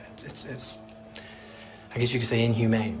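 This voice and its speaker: A man's medium-pitched voice with audible room echo and music in the background. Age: 40s. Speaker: prison inmate. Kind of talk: interview testimony.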